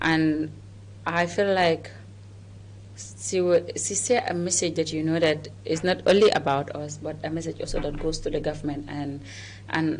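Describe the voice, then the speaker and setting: Her very deep, low voice moves at a moderate pace with lively intonation, as this woman leaves long, frequent pauses. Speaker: co-host. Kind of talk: casual discussion. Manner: vibrant.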